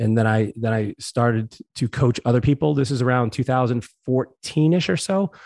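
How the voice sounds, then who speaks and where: Recorded dry and close with no echo against a quiet background, a man with an American accent talks fairly quickly at a medium pitch with ordinary pitch variation, in an unremarkable speaking voice. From Massachusetts, US. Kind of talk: interview. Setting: home living room.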